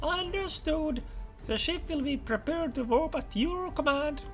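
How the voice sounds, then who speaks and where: Clear music plays in the background as a man in a put-on character voice speaks at a moderate pace, squeaky and extremely high in pitch. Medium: solo performance. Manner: formal, clipped.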